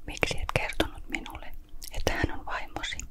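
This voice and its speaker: The words come out in a whisper, fairly slowly. There is noticeable noise in the background. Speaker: ASMR Bible reader. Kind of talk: Bible reading, ASMR-style. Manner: quiet, whispered.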